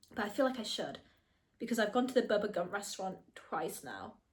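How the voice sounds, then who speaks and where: A woman with an American accent speaks at a moderate pace in a fairly high, somewhat breathy voice. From not US. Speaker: film review vlogger. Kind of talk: casual solo vlog review. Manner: chatty with many fillers.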